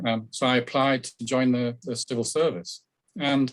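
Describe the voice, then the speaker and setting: At a moderate pace, a man speaks with a northern English accent. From northern England. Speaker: business consultant. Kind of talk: radio interview.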